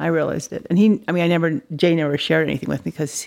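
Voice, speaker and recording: A woman with an American accent speaks at a fairly low pitch with vocal fry, the sound dry and close with no echo. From Dallas, Texas. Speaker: artist. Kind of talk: casual interview chat. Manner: animated.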